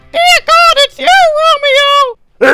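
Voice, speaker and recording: A put-on character voice, extremely high-pitched and squeaky, is heard with a dry, close sound and no echo. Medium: read story.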